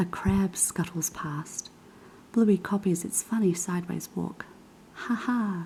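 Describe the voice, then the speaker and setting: A soft-spoken woman talks at a fairly slow pace. Her pitch variation is ordinary. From New Zealand. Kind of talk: children's book reading.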